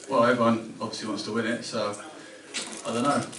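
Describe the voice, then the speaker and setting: Over noticeable background noise and audible room echo, a man speaks at a very fast pace with fairly even intonation. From Cambridge, England. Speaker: professional footballer. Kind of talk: casual interview.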